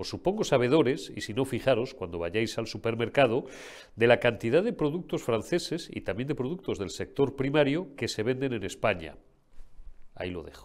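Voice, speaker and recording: A man's medium-pitched voice with vocal fry, very wide pitch swings and big swings in loudness, at a moderate pace, in a very clean recording with a silent background. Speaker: political commentary show host. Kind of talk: political commentary. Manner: animated.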